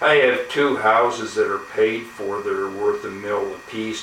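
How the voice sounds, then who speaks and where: Room echo is audible on a man's speech. There is noticeable background noise too. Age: 60s. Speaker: YouTuber, gun owner. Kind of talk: casual vlog monologue. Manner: halting, many fillers.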